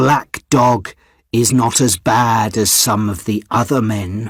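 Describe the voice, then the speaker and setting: Growling in a put-on character voice, a man speaks fairly slowly at a medium pitch with fairly even intonation. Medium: read story.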